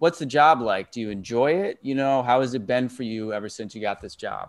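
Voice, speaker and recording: A plain, everyday voice at a fairly quick pace, with ordinary pitch variation. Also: man, medium pitch for a man, quiet background. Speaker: career coach. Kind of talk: interview questions.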